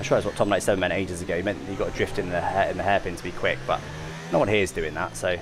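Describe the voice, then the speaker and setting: The speech runs at a very fast pace over noticeable background noise. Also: man. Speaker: sim racing gamer streamer. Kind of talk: live gameplay commentary.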